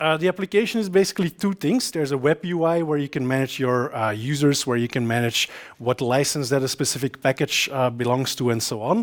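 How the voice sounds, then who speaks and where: A man with a Flemish accent, fairly high-pitched, lively in intonation, with hardly any pauses. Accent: Belgian Dutch (Flemish) accent in English. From Belgium. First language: Dutch. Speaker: software developer and conference speaker. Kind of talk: conference talk. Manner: frequent filler hesitations.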